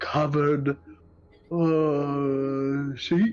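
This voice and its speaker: A put-on character voice at a low-to-middle pitch. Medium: actual play. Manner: simple, childish.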